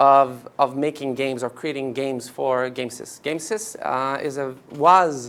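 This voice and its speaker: A fairly high-pitched man with a French Canadian accent and ordinary pitch variation. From Quebec. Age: 40s. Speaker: company executive. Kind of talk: workshop presentation. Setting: office event with live audience.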